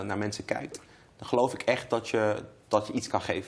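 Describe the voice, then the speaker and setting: Moderate in pace, a man talks with fairly even intonation. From Amsterdam Zuidoost (Bijlmermeer), Netherlands. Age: 30s. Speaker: member of parliament. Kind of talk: interview. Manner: hesitant, many fillers and repetitions.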